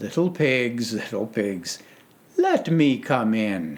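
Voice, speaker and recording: Using a put-on character voice, a man speaks very slowly at medium pitch. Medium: read story. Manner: blustering, sly.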